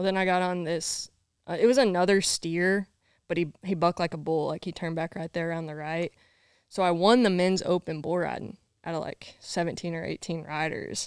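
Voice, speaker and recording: In a Southern US accent, a woman talks at a fairly quick pace with fairly low pitch and ordinary pitch variation, the sound dry and close with no echo in a very clean recording with a silent background. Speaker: bull rider. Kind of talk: casual interview chat.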